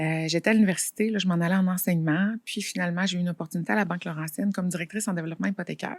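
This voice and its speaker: A woman's fairly low voice at a very fast pace, hardly any pauses, fairly even intonation, and a dry, close sound with no echo. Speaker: financial advisor and entrepreneur. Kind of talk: casual interview.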